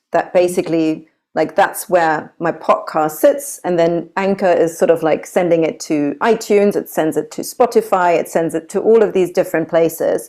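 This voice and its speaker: A woman with a German accent speaks at a moderate pace with hardly any pauses. Her voice is fairly low in pitch, with a dark, mellow tone. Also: ordinary pitch variation. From Germany. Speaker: yoga teacher. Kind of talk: casual chat.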